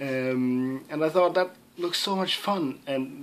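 A man speaks with a Danish accent. His pitch varies in an ordinary way. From Denmark, Southern Jutland (Sønderborg); Denmark. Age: young. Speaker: gaming YouTuber; gaming youtuber. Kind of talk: casual Q&A vlog. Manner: hesitant, many fillers. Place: home room. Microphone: webcam.

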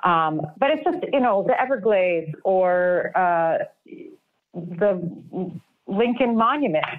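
A woman talks with a fairly low pitch. The background is quiet. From New York City. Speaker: artist; guest. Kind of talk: casual interview. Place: home room. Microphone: webcam.

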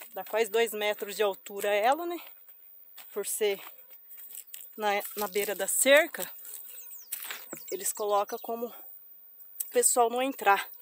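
Delivered at a fairly slow pace with long, frequent pauses, the speech has a dry sound with no echo and light background noise. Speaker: rural vlogger. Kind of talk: casual vlog chat. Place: open country. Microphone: phone near.

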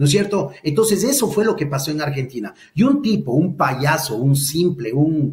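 A man with a fairly high, somewhat breathy voice talks with hardly any pauses. Audible room echo surrounds him over a quiet background. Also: moderate pace. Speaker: lawyer and political commentator; lawyer, political commentator. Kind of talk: political discussion. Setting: video call. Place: home room. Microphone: webcam.

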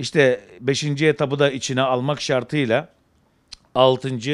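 Over a quiet background, a man at medium pitch speaks at a very slow pace. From Izmir, Turkey. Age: 40s. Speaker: pigeon breeder. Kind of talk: interview. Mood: enthusiastic, calm. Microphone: handheld.

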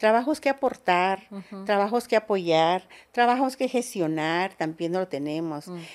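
A woman speaks fairly slowly with lively intonation and big swings in loudness. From Zinacantán, Chiapas, Mexico; Chiapas, Mexico. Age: 50s. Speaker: politician. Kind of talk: interview testimony. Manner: halting, many fillers. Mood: emotional, reflective. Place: home room. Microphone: studio mic.

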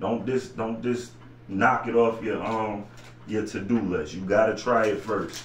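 A man talks at a moderate pace and a fairly low pitch. There is audible room echo and light background noise. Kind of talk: casual cooking tutorial. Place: home room. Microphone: camera far.

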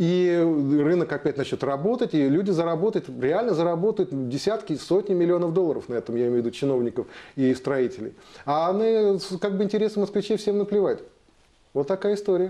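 With lively intonation and a fairly quick pace, a man speaks in a high pitch and a dark, mellow tone. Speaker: interview guest. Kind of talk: interview answer. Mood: indignant, critical. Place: studio. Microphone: lapel.

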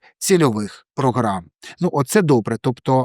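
Recorded very cleanly with a silent background and a dry, close sound with no echo, a man speaks in a normal speaking voice at a fairly slow pace, medium in pitch with lively intonation. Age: 40s. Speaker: news explainer youtuber. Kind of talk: informational video explainer.

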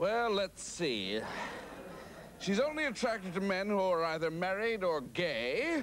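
Using a put-on character voice, a man speaks slowly at a high pitch with big pitch swings and a fairly bright tone, while faint background noise sits behind him.

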